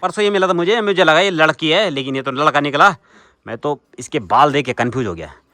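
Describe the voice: A man's bright, sharp tone and lively intonation, dry and close with no echo, over a quiet background. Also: fairly high pitch for a man, moderate pace.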